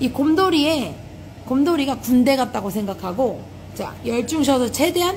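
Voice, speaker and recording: A woman with a high pitch talks at a moderate pace. Light background noise can be heard. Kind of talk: tutorial. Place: shop.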